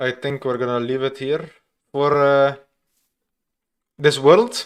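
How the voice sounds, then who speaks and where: Speaking at a very slow pace, a man with a non-native accent keeps his intonation fairly even. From Flanders, Belgium. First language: Dutch (Flemish). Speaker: gaming streamer. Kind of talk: live gameplay stream chat. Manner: hesitant, many fillers.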